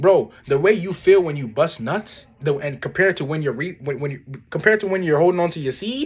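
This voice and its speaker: Fairly quick, animated speech with lively intonation and hardly any pauses. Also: man, high pitch for a man. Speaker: self-improvement vlogger. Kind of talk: casual vlog monologue. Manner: fast.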